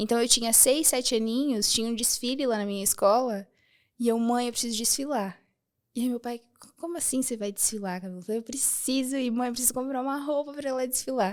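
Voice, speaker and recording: A woman speaks at a very fast pace in a high voice. Her pitch varies in an ordinary way. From southern Brazil, rural Rio Grande do Sul. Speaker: architect and femininity content creator. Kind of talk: podcast interview.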